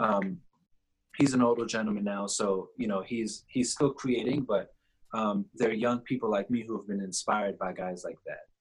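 Speaking in a plain, everyday voice with an American accent, a man keeps a medium pitch, fairly even intonation and a moderate pace. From New York. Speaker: visual artist. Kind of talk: interview.

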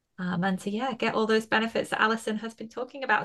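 Her tone is bright and sharp, with a fairly high pitch. The woman's pitch variation is ordinary. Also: quiet background. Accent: British. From UK. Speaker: podcast host. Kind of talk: casual interview chat.

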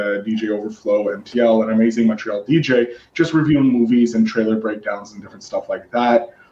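A man with a Canadian accent and a normal speaking voice talks at a moderate pace in a medium pitch. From Canada. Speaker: podcast host. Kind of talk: casual chat. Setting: video call.

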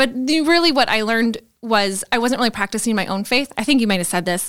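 With an Upper Midwest accent, a woman talks at a fairly quick pace and a fairly high pitch. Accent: Upper Midwest American. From Green Bay, Wisconsin. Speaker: church staff member. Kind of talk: casual chat.

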